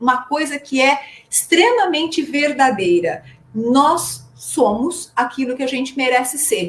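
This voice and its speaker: A woman's voice, high in pitch. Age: 60s. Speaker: trainer and coach. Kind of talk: live stream talk. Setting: live stream.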